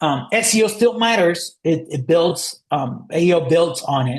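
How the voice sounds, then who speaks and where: A man talks at a high pitch. He has a non-native accent. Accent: foreign. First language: not English. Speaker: marketing agency founder giving a webinar. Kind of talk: webinar presentation. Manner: halting, many fillers.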